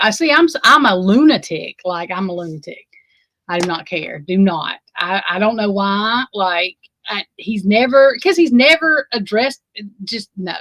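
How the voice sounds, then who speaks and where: A woman with an Alabama accent speaks at a medium pitch in a bright, sharp, animated tone with very wide pitch swings, the sound dry and close with no echo. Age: 40s. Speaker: livestream host. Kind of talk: casual livestream chat.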